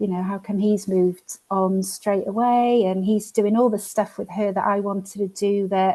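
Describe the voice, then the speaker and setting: Barely pausing, a woman speaks at a medium pitch in a dark, mellow tone with flat, monotone intonation. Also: moderate pace. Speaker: coaching client. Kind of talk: personal account. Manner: halting.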